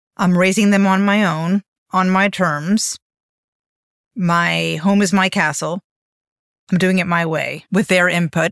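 A woman with an American accent speaks fairly slowly at a medium pitch, with fairly even intonation, very even loudness, and long, frequent pauses. The recording is very clean and dry, with a close sound, a silent background and no echo. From Miami, Florida, US. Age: 50s. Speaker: podcast host. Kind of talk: solo reflective monologue.

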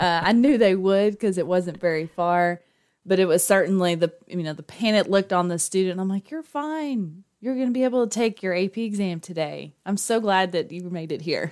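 In a very clean recording with a silent background, a woman of medium pitch speaks in a Texan accent at a fairly quick pace, with lively intonation and hardly any pauses. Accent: Texan, noticeable. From Texas. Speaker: school district testing coordinator. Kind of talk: casual interview chat.

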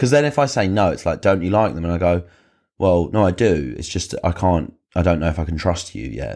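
A man's very deep, low voice with vocal fry, very wide pitch swings and an animated tone at a fairly quick pace, on a very clean recording with a silent background. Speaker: podcast host. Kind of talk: casual chat, then angry comic rant. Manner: animated, ranting, sweary, sarcastic.

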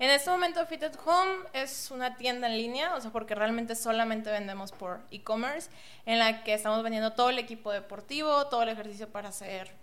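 Noticeable background noise sits behind a woman speaking at a fairly quick pace. Her fairly high voice has lively intonation. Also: hardly any pauses. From Mexico, Monterrey. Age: 20s. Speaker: entrepreneur, online store founder. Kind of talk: podcast interview.

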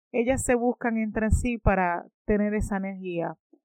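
A woman speaks at a fairly slow pace with ordinary pitch variation. It is an ordinary speaking voice. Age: 30s. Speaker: podcast host. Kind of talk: motivational monologue.

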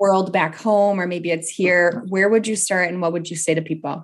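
An ordinary speaking voice against a quiet background. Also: woman. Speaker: podcast host. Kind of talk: podcast interview.

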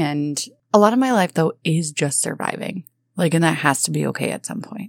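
Here a woman uses an ordinary speaking voice, fairly low in pitch and at a fairly quick pace. The recording is very clean with a silent background, dry and close with no echo. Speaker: podcast co-host. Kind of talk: casual chat.

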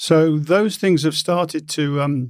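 A man speaks with a British accent at a fairly slow pace. His pitch is fairly high, with ordinary variation. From UK. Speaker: payments executive. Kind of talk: interview. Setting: studio.

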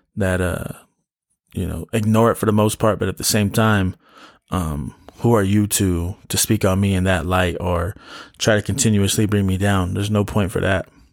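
In a very clean recording with a silent background, a man talks at a moderate pace with a fairly low pitch, a relaxed tone, and fairly even intonation. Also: long, frequent pauses. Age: 20s. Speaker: podcast host. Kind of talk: casual solo monologue. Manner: relaxed, frequent laughs and fillers.

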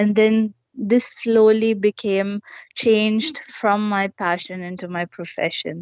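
Very slow pace from a woman at medium pitch. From South India (Hubli, Karnataka). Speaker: adventure motorcyclist. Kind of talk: interview. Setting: video call.

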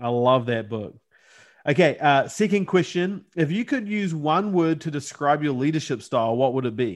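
This man has a normal speaking voice, pitched fairly high, with lively intonation. He keeps a moderate pace over a quiet background. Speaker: podcast host. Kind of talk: casual interview chat.

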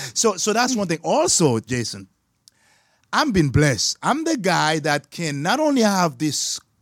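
Animated and high-pitched, a man speaks at a moderate pace with very wide pitch swings on a very clean recording with a silent background. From Haiti. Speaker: business consultant. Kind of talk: podcast interview. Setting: studio.

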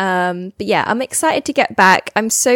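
Here a woman speaks at medium pitch. The recording is very clean, with a silent background. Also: dry, close sound with no echo. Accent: British. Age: 20s. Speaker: podcast host. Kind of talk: casual solo chat. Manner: chatty, meandering.

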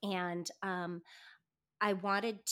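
With an American accent, a woman uses an ordinary speaking voice at medium pitch and fairly even intonation, on a very clean recording with a silent background. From US Pacific Northwest, north central Washington. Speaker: homesteader. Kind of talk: casual chat.

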